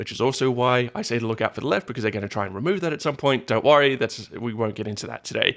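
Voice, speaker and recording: Very fast speech with ordinary pitch variation, on a very clean recording with a silent background. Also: man. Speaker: vtuber reaction streamer. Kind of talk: casual commentary. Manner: halting.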